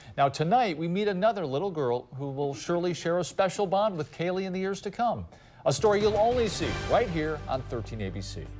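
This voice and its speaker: A man's high, lively voice at a fairly quick pace, with music in the background. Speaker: news anchor. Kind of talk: TV news anchor read.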